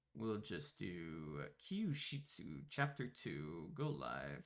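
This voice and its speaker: A man with a medium pitch, vocal fry, a very slow pace, and very wide pitch swings. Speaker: streamer and podcast host. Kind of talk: casual chat. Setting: live stream. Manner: animated.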